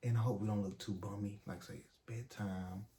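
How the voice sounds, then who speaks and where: A soft-spoken man talks at a fairly quick pace in a fairly low, somewhat breathy voice. His tone is dark and mellow, and his intonation fairly even. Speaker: YouTube couple vlogger. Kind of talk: casual chat. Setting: at home at night.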